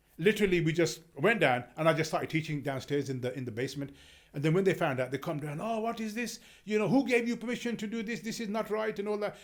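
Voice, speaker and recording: Talking at a very fast pace, a man with a London accent and a high pitch makes very wide pitch swings. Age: 60s. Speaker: community religious teacher. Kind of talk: casual chat. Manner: halting.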